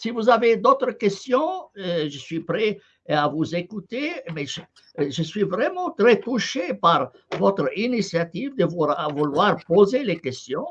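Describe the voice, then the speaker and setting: A man with an Arabic accent, high-pitched for a man, with very wide pitch swings and a very slow pace. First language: Arabic (speaking French). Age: 70s. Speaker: professor and channel host, Quran scholar. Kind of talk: live online discussion, translating into Arabic. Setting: live stream / online call. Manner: hesitant, many filler sounds.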